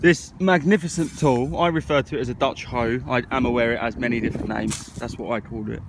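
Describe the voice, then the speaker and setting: A man with an English accent at a medium pitch, talking very fast with hardly any pauses, over noticeable background noise. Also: lively intonation. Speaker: gardening vlogger. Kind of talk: casual vlog talk. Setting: outdoors on allotment.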